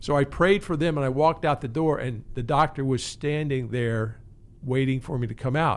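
In an American accent, a man with an unremarkable speaking voice talks at a moderate pace and medium pitch. His pitch varies in an ordinary way on a very clean recording with a silent background. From Maryland, US. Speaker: counseling center director and therapist. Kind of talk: casual interview.

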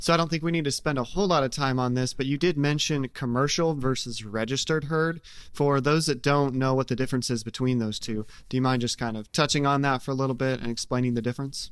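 A man talks very fast in an American accent at a medium pitch. His intonation stays fairly even, and the recording is very clean with a silent background. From Nebraska. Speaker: podcast host and farmer. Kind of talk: casual podcast chat.

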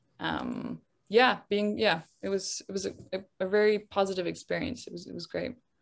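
At a moderate pace, a woman with medium pitch and ordinary pitch variation speaks with vocal fry and big swings in loudness. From Netherlands. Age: 20s. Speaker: documentary filmmaker. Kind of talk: casual chat. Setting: video call. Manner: stutters.

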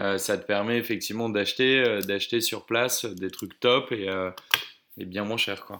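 A man's plain, everyday voice, medium in pitch with fairly even intonation. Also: fairly slow pace. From Oise, northern France. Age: 20s. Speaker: traveler. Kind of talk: interview.

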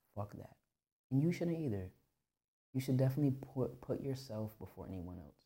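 At a moderate pace, a man talks in a dark, mellow, somewhat breathy voice. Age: 30s. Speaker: podcast host. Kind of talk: casual monologue.

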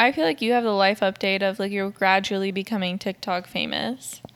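A woman with an unremarkable speaking voice speaks at a medium pitch and moderate pace, with fairly even intonation and hardly any pauses. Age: 20s. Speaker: podcast co-host and photographer. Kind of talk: casual chat.

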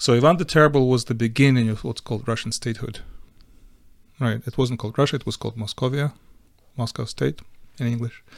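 Very fast speech from a medium-pitched man, broken by long, frequent pauses, with fairly even intonation. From western Ukraine. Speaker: Ukrainian émigré, aid organizer. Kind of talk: interview. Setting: studio. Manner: halting.

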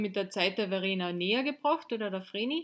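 A woman speaks at a moderate pace with a medium pitch.

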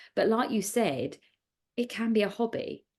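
A woman's voice with vocal fry. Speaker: podcast host. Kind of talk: casual interview chat.

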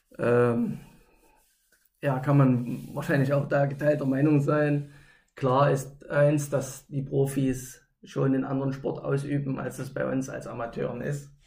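Amid audible room echo, a man speaks at a fairly high pitch and a fairly slow pace in a monotone, flat intonation. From East Germany, Gera (Thuringia). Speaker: roller hockey club official and former player. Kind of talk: casual interview.

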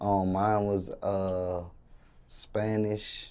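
Heard with audible room echo, a man with a dark, mellow tone speaks at a fairly low pitch in monotone, flat intonation. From New Orleans, Louisiana. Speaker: rapper. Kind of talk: interview. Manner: halting, many fillers.

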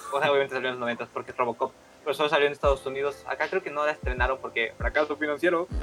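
Over music in the background, a man with a fairly high pitch talks very fast in a Mexican accent, with ordinary pitch variation. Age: 20s. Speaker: podcast co-host. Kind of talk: casual chat.

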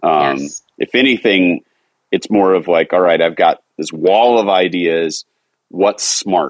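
Very slowly and with a very deep, low pitch, a man speaks in a dry, close sound with no echo. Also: ordinary pitch variation. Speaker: cookbook author and home cook. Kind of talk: casual interview.

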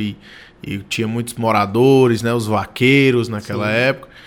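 Fairly slow, monotone, flat speech from a man, medium in pitch. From Ceará interior, Brazil (Ipu). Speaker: state politician. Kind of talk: radio interview. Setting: studio.

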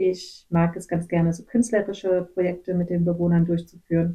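Dark, mellow, medium-pitched speech from a woman. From western Germany (Gummersbach). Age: 30s. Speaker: missionary, nurse. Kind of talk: interview, personal testimony. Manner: hesitant, many filler sounds.

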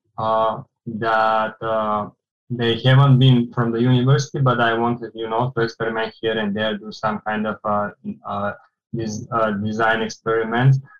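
A man at a medium pitch with a Bulgarian accent, monotone, flat intonation, and a moderate pace. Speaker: architectural designer. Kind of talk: casual interview.

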